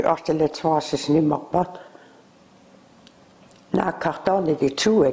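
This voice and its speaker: A woman's fairly low-pitched voice with a South Tyrolean accent and fairly even intonation. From South Tyrol, Italy. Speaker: former factory worker. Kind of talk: oral history interview answer. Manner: hesitant, rambling. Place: home room. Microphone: lapel.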